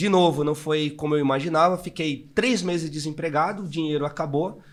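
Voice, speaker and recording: A man talks at a moderate pace in an ordinary speaking voice. His pitch is fairly high, with ordinary pitch variation. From northeastern Brazil, Maceió, Alagoas. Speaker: entrepreneur. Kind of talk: interview, personal life story.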